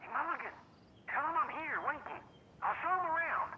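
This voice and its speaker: Someone uses a put-on character voice at an extremely high pitch and a fairly quick pace, with clear background noise behind it. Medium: video game. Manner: loud, blustering.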